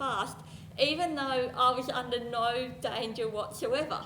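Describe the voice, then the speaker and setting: A woman with an Australian accent speaks in a high pitch with ordinary pitch variation, and some room echo can be heard. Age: adult. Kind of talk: presentation.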